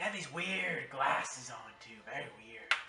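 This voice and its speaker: A man puts on a character voice pitched high for a man, moving at a moderate pace. There is a slight echo on the recording. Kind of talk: campfire tall tale. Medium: voice reel. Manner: theatrical, dramatic.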